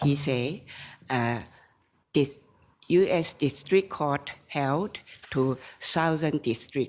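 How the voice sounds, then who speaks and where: At a very slow pace, a woman talks in a very deep, low pitch with ordinary pitch variation and long, frequent pauses. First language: Chinese. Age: 70s. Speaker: appellant in a court case. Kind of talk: court testimony. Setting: courtroom. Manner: halting.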